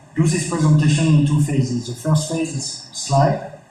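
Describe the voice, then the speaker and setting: This is a man talking. He keeps a monotone, flat intonation. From France. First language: French. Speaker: tech conference speaker. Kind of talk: technical presentation. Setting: office meetup with audience. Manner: halting, many fillers.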